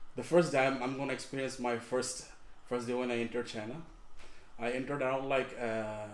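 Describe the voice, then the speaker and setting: A man's medium-pitched, monotone delivery with flat intonation at a fairly quick pace, with audible room echo. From Bangladesh, Dhaka. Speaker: master's student. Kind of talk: podcast interview. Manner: halting, repeats words.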